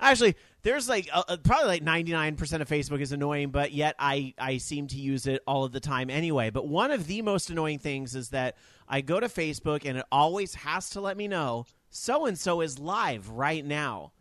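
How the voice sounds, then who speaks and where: A man talks at a moderate pace with a fairly high pitch and lively intonation. He has an ordinary speaking voice. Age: 30s. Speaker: podcast co-host. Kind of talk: casual chat.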